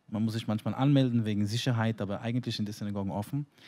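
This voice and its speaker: Against a quiet background, a man with a medium pitch and a dark, mellow tone speaks at a very fast pace. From New York, ultra-Orthodox community. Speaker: rabbi. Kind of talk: panel discussion. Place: stage. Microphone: handheld.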